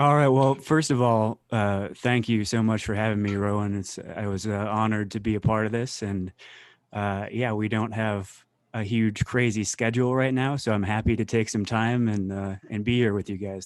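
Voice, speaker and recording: A man's fairly low-pitched voice, an unremarkable speaking voice with an American accent, fairly even intonation and a moderate pace. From Colorado, US. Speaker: wedding photographer. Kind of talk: online interview.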